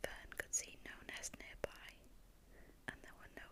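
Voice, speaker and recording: Someone whispers at a fairly slow pace. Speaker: ASMR storyteller. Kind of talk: sleep story. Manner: whispered.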